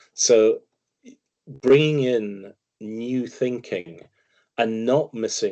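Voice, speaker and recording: A man speaks with a Scottish accent. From Scotland. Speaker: financial commentator, investment firm founder. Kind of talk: interview.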